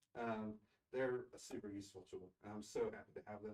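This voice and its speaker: The man speaks at a fairly low pitch. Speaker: school district technology director. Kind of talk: presentation report at board meeting. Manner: fast.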